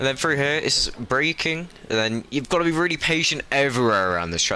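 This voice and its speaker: Over noticeable background noise, a man talks with a fairly high pitch and lively intonation. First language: not German (English speaker). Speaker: sim racing commentator. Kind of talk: live commentary.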